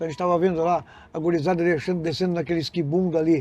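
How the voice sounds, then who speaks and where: Very fast and high-pitched, a man talks with a dark, mellow tone and fairly even intonation. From southern Rio Grande do Sul, Brazil (Canguçu). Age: 60s. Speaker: resort founder, entrepreneur. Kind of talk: podcast interview.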